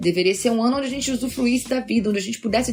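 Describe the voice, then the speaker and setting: A woman's fairly high voice with lively intonation, music in the background. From Rio de Janeiro, Brazil. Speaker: agile coach and author. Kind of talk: podcast interview.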